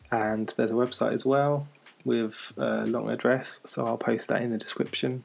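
A man is speaking at a moderate pace. Noticeable background noise runs through the clip. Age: 30s. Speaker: mental health podcaster. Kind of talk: personal monologue. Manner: hesitant, filler-heavy.

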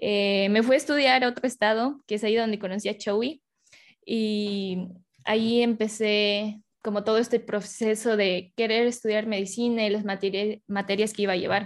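With a Mexican accent and monotone, flat intonation, someone speaks at a moderate pace against a quiet background. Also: woman, fairly high pitch for a woman. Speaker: podcast host. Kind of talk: casual chat.

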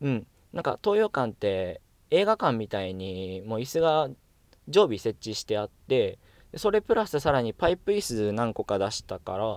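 A man talks at a moderate pace with a medium pitch and very wide pitch swings. The recording is very clean and dry, close with no echo, over a silent background. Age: 20s. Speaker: actor and radio personality. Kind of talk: solo casual monologue.

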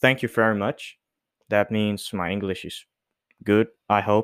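A man with a non-native accent and a fairly low pitch, at a fairly slow pace, in a dry, close sound with no echo. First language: not English. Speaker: solo podcaster. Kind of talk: casual solo monologue. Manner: halting, many fillers.

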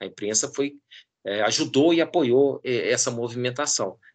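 This is a plain, everyday voice at a fairly slow pace. The background is quiet. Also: man. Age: 50s. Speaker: professor and pollster. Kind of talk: interview.

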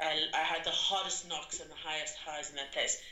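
A woman talks over noticeable background noise. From South Africa. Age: 30s. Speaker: drama education entrepreneur. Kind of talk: interview conversation.

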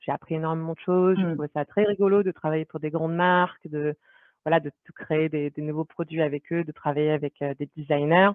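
The delivery is fairly quick and monotone, with flat intonation and big swings in loudness. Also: woman, very deep, low pitch for a woman. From France. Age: 30s. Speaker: product manager. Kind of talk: interview.

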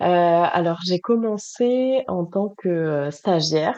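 This woman's voice has a dark, mellow tone and a fairly low pitch. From southern France, Toulouse. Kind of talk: interview. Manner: halting, many fillers and repetitions.

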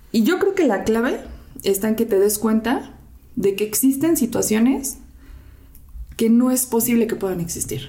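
A woman's fairly high voice with lively intonation, a moderate pace, long, frequent pauses and noticeable background noise. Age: 30s. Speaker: volunteer charity organizer, works in marketing. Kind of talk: casual chat.

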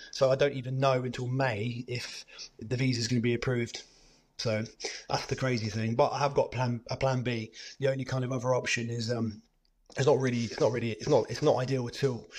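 Speaking at a fairly quick pace with a British accent, a man keeps a medium pitch and a monotone, flat intonation. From Cyprus. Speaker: adventurer, former marine. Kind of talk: casual interview chat.

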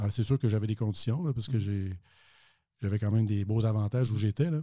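His tone dark and mellow, a man talks at a medium pitch with fairly even intonation. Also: very clean recording, silent background. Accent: Quebec. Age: 50s. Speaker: financial advisor and actuary. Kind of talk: interview.

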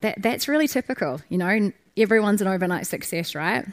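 A woman with a New Zealand accent and a medium pitch at a fairly quick pace, in a very clean recording with a silent background. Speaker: startup founder. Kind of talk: conference talk. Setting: stage with audience.

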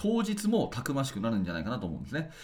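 Very wide pitch swings mark this speech, along with vocal fry. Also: man. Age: 40s. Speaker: basketball coach and podcast host. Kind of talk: solo radio talk.

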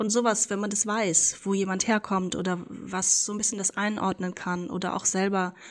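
A woman's monotone, flat delivery at a moderate pace. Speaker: diversity consultant. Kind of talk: interview.

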